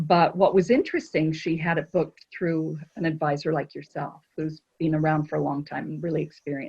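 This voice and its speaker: A woman speaks at a fairly quick pace with hardly any pauses, her pitch very deep and low and her intonation fairly even. Her voice is somewhat breathy. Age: 60s. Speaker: cruise line sales director. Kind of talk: casual chat.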